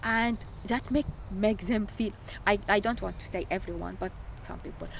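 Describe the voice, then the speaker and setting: Speaking slowly-ish with an Arabic accent, a woman uses a fairly high pitch and ordinary pitch variation. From Syria. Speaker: refugee. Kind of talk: interview testimony. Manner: halting.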